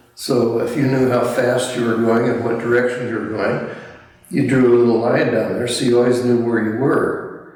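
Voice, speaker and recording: There is audible echo in the room. A man talks at a medium pitch. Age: 90s. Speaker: artist and WWII navy pilot veteran. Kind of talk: interview, reminiscing. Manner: halting.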